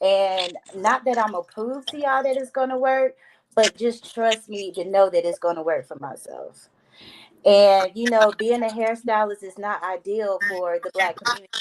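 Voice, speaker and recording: This woman has a plain, everyday voice, fairly high in pitch with ordinary pitch variation. Her loudness rises and falls in big swings. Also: moderate pace. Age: 30s. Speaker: hairstylist. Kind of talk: panel discussion.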